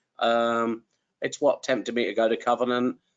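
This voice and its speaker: A man's medium-pitched voice at a moderate pace. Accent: English. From England. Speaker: trucking company recruiter, former truck driver. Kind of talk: webinar interview. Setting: online webinar.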